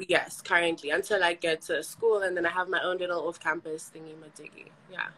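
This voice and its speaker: A woman with a fairly low pitch speaks at a fairly quick pace with hardly any pauses, monotone, flat intonation and big swings in loudness. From South Africa. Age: 20s. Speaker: dating show caller, university student. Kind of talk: casual chat. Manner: hesitant, with fillers.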